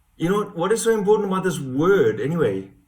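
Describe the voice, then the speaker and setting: Somewhat breathy, a man's voice swings very widely in pitch while audible room echo surrounds it. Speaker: hypnotherapist. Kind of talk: personal testimony and explanation.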